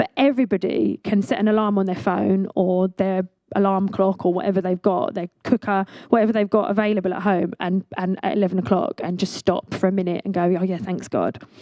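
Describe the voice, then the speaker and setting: A woman's medium-pitched voice, fairly quick, with fairly even intonation. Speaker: visiting speaker from a church ministry. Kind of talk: sermon. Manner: fast; hesitant, with many fillers.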